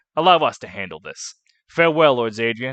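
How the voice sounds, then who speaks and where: A man puts on a character voice at a medium pitch, talking at a fairly quick pace. His intonation is lively, and the background is quiet. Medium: solo performance.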